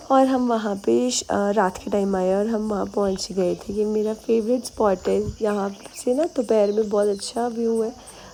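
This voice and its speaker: Speaking at a fairly slow pace, a woman keeps a medium pitch and fairly even intonation. Noticeable background noise runs underneath. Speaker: vlogger. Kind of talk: casual vlog narration.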